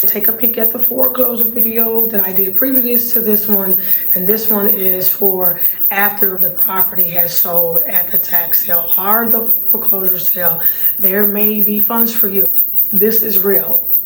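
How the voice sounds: A raspy woman at medium pitch talks at a moderate pace with fairly even intonation, and audible room echo surrounds her.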